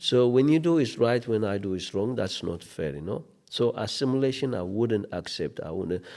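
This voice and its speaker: With an Ethiopian accent, a man speaks in a medium pitch with a dark, mellow tone and lively intonation, captured on a very clean recording with a silent background. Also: moderate pace. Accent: Ethiopian accent, kept. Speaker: refugee support organization manager. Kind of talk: interview conversation. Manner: animated.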